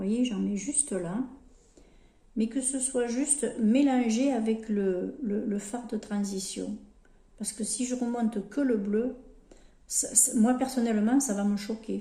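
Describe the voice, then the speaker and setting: Speaking at a very slow pace with long, frequent pauses, a woman with a fairly high pitch uses a somewhat breathy, dark, mellow tone and fairly even intonation. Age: 60s. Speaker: lifestyle vlogger. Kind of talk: makeup tutorial chat. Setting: home, sunlight through skylight. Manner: casual, hesitant with repetitions.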